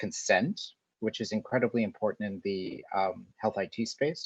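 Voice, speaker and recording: A man with an American accent talks at a moderate pace in a dry, close sound with no echo. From USA. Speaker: academic researcher, session moderator. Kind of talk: moderating a webinar. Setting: video call webinar.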